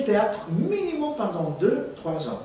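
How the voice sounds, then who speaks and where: A man speaks at a high pitch with very wide pitch swings. Audible room echo and noticeable background noise are present. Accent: Spanish. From Guatemala. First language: Spanish (speaking French). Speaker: actor and theatre teacher. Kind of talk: interview. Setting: filmed interview.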